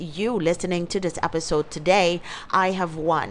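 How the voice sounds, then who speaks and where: A woman speaks in an animated tone. She has a non-native accent. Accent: non-native accent, permanent. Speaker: podcast host, life coach. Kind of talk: motivational podcast monologue.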